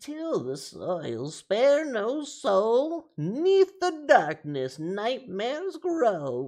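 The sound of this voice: Someone does a put-on character voice with a fairly high pitch and very wide pitch swings, speaking at a very slow pace.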